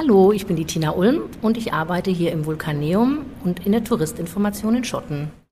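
With an unremarkable speaking voice, a woman of medium pitch talks at a fairly quick pace with lively intonation. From Frankfurt, Germany. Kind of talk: interview.

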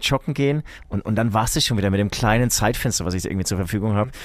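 A man's voice with a Franconian accent and ordinary pitch variation. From Franconia, Bavaria (Herzogenaurach). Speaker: rock musician. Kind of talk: casual chat.

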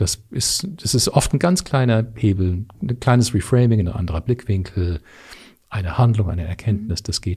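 Somewhat breathy, with a dark, mellow tone and medium pitch, a man talks at a moderate pace. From Canada. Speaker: leadership coach. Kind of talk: interview.

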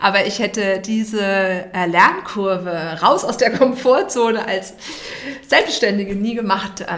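A woman talks at a very slow pace with a medium pitch and ordinary pitch variation. Noticeable background noise and audible room echo are present. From Hesse, Germany. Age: 50s. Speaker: communications and branding entrepreneur. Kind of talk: podcast interview. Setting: podcast studio.

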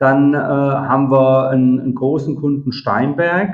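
A man with a medium pitch speaks at a very slow pace, with ordinary pitch variation. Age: 50s. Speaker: software company executive. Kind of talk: interview. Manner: hesitant, many fillers.

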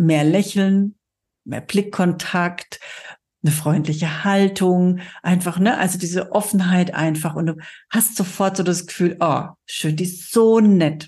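A woman speaks at a fairly slow pace with a dark, mellow tone and a somewhat breathy quality. Her pitch sits in the medium range, and the background is quiet. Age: 50s. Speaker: podcast host and cosmetics sales trainer. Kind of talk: solo podcast monologue. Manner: animated.

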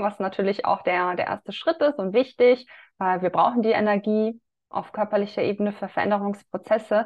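This woman uses a medium pitch and ordinary pitch variation at a moderate pace. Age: 30s. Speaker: women's health coach. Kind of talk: casual chat.

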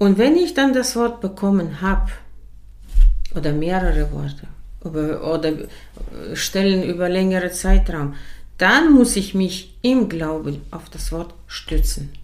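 A woman at a medium pitch with lively intonation, speaking very slowly with long, frequent pauses amid audible room echo. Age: 60s. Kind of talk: casual faith conversation, testimony.

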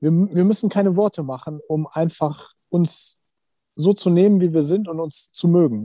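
Against a quiet background, a man talks at a moderate pace in a high voice with a dark, mellow tone and ordinary pitch variation. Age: 40s. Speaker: insurance sales professional and TV personality. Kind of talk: casual interview chat.

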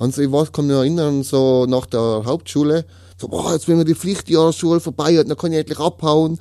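A man speaks with a Tyrolean accent. His tone is dark and mellow. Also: fairly high pitch for a man, fairly even intonation. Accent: Tyrolean Austrian German. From Austria, Tyrol. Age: 30s. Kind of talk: testimony. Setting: studio. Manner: halting.

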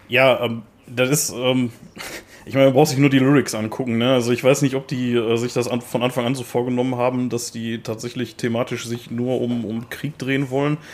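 A man with a strong Ruhr accent speaks at a fairly quick pace in a medium pitch with monotone, flat intonation. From Ruhr area, Germany. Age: 30s. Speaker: metal podcast co-host. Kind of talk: casual chat. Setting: remote recording over headphones.

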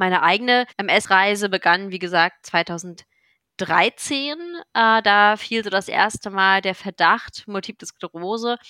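Speaking at a very slow pace, a woman has a bright, sharp tone, medium pitch and ordinary pitch variation, on a very clean recording with a silent background. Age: 30s. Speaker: patient blogger with multiple sclerosis. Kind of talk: interview conversation. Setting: studio. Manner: hesitant with many fillers.

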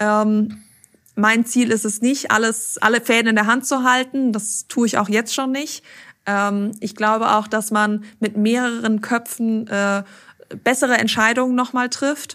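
Over a silent background in a very clean recording, a woman talks fairly slowly in a monotone, flat intonation with a fairly high pitch. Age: 30s. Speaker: managing director of a machine-building company. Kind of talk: interview.

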